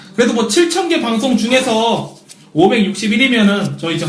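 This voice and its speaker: A man talks fairly quickly with lively intonation, while noticeable background noise and audible room echo fill the recording. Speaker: wrestling podcast co-host. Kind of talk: casual chat.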